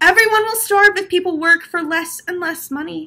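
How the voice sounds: A woman puts on a character voice with extremely high pitch and a bright, sharp tone. She keeps a moderate pace and ordinary pitch variation.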